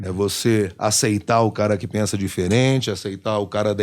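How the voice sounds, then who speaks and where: A man speaks slowly, at a fairly slow pace, in an ordinary speaking voice with a fairly low pitch. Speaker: radio host and voice actor (dubbing). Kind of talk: casual interview answer.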